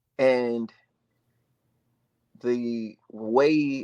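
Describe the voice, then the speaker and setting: A man's voice at medium pitch, with ordinary pitch variation. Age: 20s. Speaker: political candidate. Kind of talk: interview. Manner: animated.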